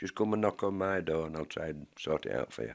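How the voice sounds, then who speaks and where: On a very clean recording with a silent background and a dry, close sound with no echo, a man with a Yorkshire accent and a very deep, low pitch speaks at a moderate pace with ordinary pitch variation. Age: 70s. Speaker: tenants association organiser. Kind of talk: interview.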